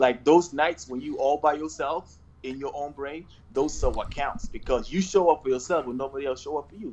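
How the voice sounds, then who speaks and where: At a fairly quick pace, a man with a slight South Sudanese accent talks at a fairly high pitch, with ordinary pitch variation and big swings in loudness. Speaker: investor and entrepreneur. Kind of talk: casual interview chat.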